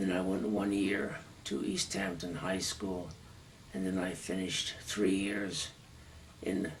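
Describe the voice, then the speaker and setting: A man with an American accent speaks very slowly in a very deep, low voice, with audible room echo and noticeable background noise. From Massachusetts, US. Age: 80s+. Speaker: war veteran. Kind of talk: oral history interview.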